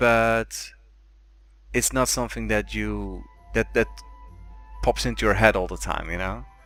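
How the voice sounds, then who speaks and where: A man with a non-native accent speaks at a moderate pace over background music. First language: not English. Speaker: podcast host. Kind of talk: casual chat.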